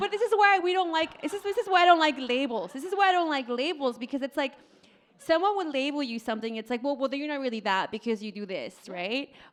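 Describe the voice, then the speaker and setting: A woman's high pitch and animated tone at a very fast pace, with very wide pitch swings and noticeable background noise. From Mexico, Oaxaca. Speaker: restaurant owner. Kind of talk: live podcast interview. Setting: stage with audience.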